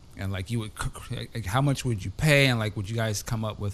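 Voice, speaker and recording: A man with a plain, everyday voice, fairly low in pitch, at a fairly quick pace. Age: 40s. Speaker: podcast host. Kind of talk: casual chat. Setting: remote call.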